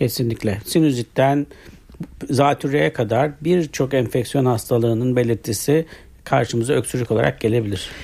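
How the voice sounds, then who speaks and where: A man with a medium-pitched, dark, mellow, somewhat breathy voice talks at a moderate pace with ordinary pitch variation and very even loudness. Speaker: internal medicine doctor. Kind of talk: radio health interview. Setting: radio studio. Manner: formal, explanatory.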